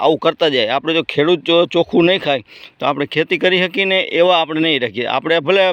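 The man has a normal speaking voice, fairly high in pitch, with ordinary pitch variation. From Gujarat, Saurashtra (Rajkot district). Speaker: farmer. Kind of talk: casual vlog and sales pitch.

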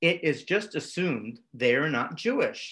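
A man's fairly high pitch with a fairly bright tone and lively intonation

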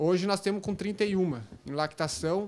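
The man speaks with ordinary pitch variation. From Rio Grande do Sul, Brazil. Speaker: young dairy farmer. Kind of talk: interview. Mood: positive, proud. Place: home room. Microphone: lapel.

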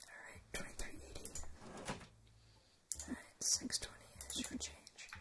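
A woman whispering at a fairly slow pace, with long, frequent pauses. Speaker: ASMR creator. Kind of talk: ASMR gameplay commentary. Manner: whispered. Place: home room.

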